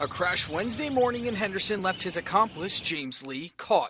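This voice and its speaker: A man with an American accent speaks in a raised, projected voice at a high pitch. He moves at a fairly quick pace with lively intonation. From New York State, Warwick. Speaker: TV news reporter. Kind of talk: news report; live shot. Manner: casual.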